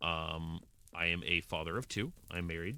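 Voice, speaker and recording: Very deep, low male voice, bright and sharp in tone. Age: 20s. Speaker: gaming streamer. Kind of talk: casual live-stream chat. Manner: halting, many fillers.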